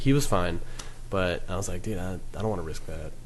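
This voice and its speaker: With audible room echo, a man talks at a fairly quick pace and with ordinary variation in pitch. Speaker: podcast host. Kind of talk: casual chat.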